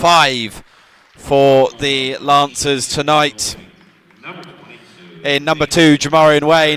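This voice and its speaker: With an English accent, a man speaks in a fairly high pitch and a monotone, flat intonation over noticeable background noise. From England. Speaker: student sports commentator. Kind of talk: live commentary. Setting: commentary booth.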